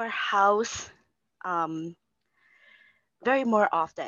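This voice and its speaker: A woman speaks with lively intonation. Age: 30s. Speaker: single mother, bookkeeper. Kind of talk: casual interview.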